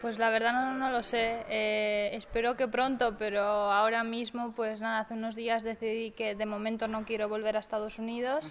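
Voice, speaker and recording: A woman with a fairly high pitch, monotone, flat intonation and a fairly slow pace. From Cantabria, Spain. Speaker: professional golfer. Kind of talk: interview.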